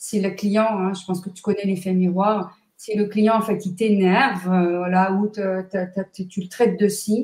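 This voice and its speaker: A woman talks at a fairly slow pace in a somewhat breathy voice. Her pitch is medium. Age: 60s. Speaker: numerologist and author. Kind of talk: interview. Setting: live video stream.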